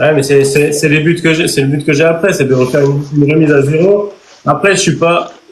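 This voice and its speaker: Fairly high for a man, his voice keeps a very even loudness and fairly even intonation at a fairly quick pace. Noticeable background noise runs beneath him. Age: 30s. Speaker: podcast host. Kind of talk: casual interview.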